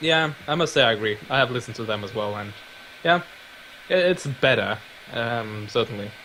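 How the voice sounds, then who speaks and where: A man with a slight Scandinavian accent speaks at a moderate pace and medium pitch, his intonation lively. Long, frequent pauses break up his speech over noticeable background noise. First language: Scandinavian language. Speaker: YouTuber. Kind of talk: casual chat. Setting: live stream.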